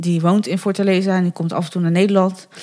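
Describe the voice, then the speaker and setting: The voice keeps a monotone, flat intonation on a very clean recording with a silent background. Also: woman. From Netherlands, Bergen op Zoom (North Brabant). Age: 30s. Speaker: adoptee sharing her story. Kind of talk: interview conversation. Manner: hesitant, many fillers.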